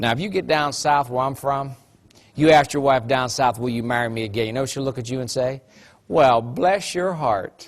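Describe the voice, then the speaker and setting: A man's medium-pitched voice in an Appalachian accent, moderate in pace, with ordinary pitch variation. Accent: Appalachian twang. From West Virginia. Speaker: motivational speaker. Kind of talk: motivational talk. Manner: animated.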